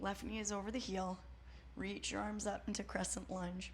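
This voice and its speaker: A woman speaks in a calm tone at a moderate pace. Audible room echo surrounds her voice. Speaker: yoga instructor. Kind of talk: guided yoga class instruction. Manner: calm, encouraging cueing.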